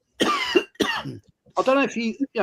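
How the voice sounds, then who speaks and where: A man with an English accent is heard in a dry, close sound with no echo. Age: 60s. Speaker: football fan channel guest. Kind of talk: casual chat.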